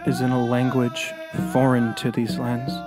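The speaker goes at a fairly slow pace with music in the background. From Garden River First Nation, Ontario. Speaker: storyteller. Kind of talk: spoken word poetry.

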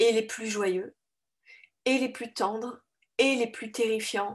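A woman speaks with fairly even intonation. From France. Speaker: author. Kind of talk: interview.

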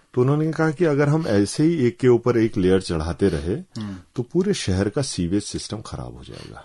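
A man's dark, mellow, medium-pitched voice at a moderate pace, with very wide pitch swings, big swings in loudness and a quiet background. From Uttarakhand, Kumaon (Bageshwar, Lohaghat); Uttarakhand. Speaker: journalist. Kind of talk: radio interview. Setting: radio studio. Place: studio.

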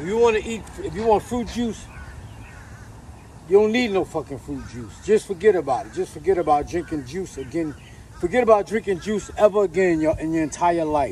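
The speaker uses lively intonation and big swings in loudness at a fairly quick pace. The sound is dry with no echo, with light background noise. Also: man. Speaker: poet giving diet advice. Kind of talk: casual vlog rant. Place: street. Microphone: camera far.

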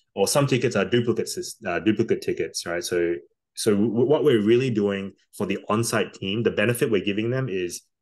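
A man with an Australian accent keeps a moderate pace and ordinary pitch variation over a quiet background. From Australia, Darwin; Northern Territory, Australia. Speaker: tech company founder and CEO; podcast guest. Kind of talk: interview. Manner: hesitant, many fillers and repeats. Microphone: video call.

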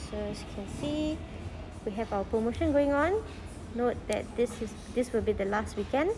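A woman talks at a moderate pace, her pitch varying in an ordinary way, with music in the background. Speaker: presenter. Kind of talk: casual product walkthrough. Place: shop. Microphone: phone near.

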